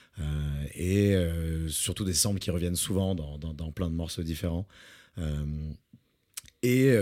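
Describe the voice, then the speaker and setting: Very deep and low, a man's dark, mellow voice moves at a fairly slow pace with ordinary pitch variation. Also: long, frequent pauses. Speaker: music podcast co-host. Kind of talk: casual chat. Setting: studio.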